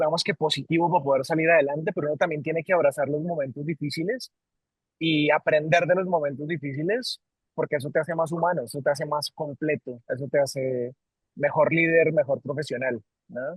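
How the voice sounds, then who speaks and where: This man has a Colombian accent and a fairly high pitch. He talks at a fairly quick pace with ordinary pitch variation. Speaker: company CEO. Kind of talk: interview. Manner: halting, many repetitions.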